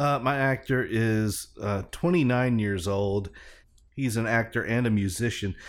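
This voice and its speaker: This is a man with an ordinary speaking voice, medium pitch, and ordinary pitch variation, speaking at a fairly slow pace. His loudness stays very even on a very clean recording with a silent background. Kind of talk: mock-solemn radio DJ patter, parody beer-check-in segment.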